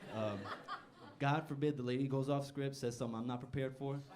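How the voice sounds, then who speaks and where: Over noticeable background noise and audible room echo, a man talks at a very fast pace with medium pitch and fairly even intonation. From Newark, New Jersey, Puerto Rican family. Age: 20s. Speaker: stand-up comedian. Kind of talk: stand-up. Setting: stage with audience.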